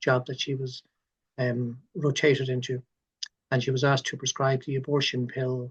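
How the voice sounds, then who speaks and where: A man with an Irish accent, medium in pitch and somewhat breathy, at a fairly quick pace with monotone, flat intonation, the sound dry and close with no echo. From Ireland. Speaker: doctor. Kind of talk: interview. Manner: halting, many fillers and repeats.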